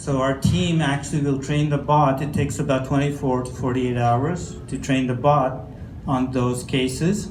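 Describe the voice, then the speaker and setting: Speaking fairly slowly with an American accent, a man shows ordinary pitch variation amid audible room echo. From Canada, Newfoundland. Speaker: healthcare AI company presenter. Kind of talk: conference presentation.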